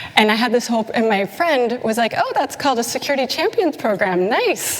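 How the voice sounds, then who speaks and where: Against noticeable background noise, a woman with a slight Canadian accent speaks at a fairly quick pace in a high pitch, with lively intonation and very even loudness. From Canada. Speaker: conference speaker, security consultant. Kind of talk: conference talk. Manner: animated.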